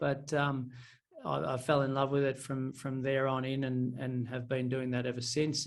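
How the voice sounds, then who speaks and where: With an Australian accent, a man speaks at a moderate pace in a fairly high pitch. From country Victoria, Australia. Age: 30s. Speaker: property and finance coach. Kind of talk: podcast interview. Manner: hesitant, many fillers.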